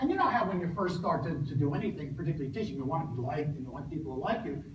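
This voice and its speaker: The man talks at a very fast pace, fairly high in pitch, with ordinary pitch variation. Audible room echo and noticeable background noise surround him. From northern New Jersey, US. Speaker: professor. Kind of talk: lecture. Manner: halting, many fillers.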